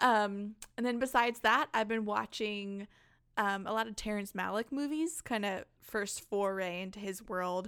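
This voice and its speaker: A woman speaks at a medium pitch with ordinary pitch variation. It is an ordinary speaking voice. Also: moderate pace. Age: 30s. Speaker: podcast host. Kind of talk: casual chat. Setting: video call.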